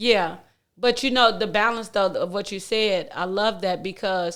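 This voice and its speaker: A woman's medium-pitched voice with fairly even intonation, on a very clean recording with a silent background. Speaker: preacher and channel host. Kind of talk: casual chat. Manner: loud.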